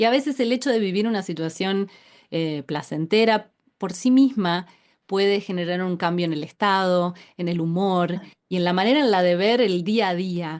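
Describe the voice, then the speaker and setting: In a Rioplatense accent, a moderate pace and ordinary pitch variation. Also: woman, medium pitch for a woman. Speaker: podcast host. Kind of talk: interview conversation.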